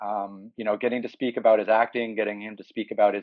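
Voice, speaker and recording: The background stays quiet as a man talks in a fairly low register. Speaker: travel filmmaker and photographer; podcast host. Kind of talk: casual interview. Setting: video call. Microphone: earbuds.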